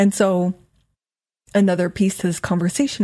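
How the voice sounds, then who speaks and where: A woman with a dark, mellow, somewhat breathy tone speaks in a fairly low pitch with ordinary pitch variation, on a very clean recording with a silent background. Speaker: life and weight loss coach, podcast host. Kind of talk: solo podcast monologue. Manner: casual, conversational; occasionally stumbles over words.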